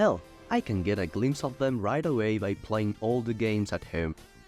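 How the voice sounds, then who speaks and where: With music in the background, a man speaks at a moderate pace in a fairly low pitch with ordinary pitch variation. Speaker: video essayist. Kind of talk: video essay narration. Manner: casual, humorous.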